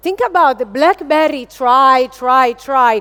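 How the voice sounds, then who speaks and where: Speaking with an Italian accent, a woman talks at a moderate pace in a high pitch. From Italy. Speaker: business executive. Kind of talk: keynote speech. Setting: stage with audience. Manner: animated.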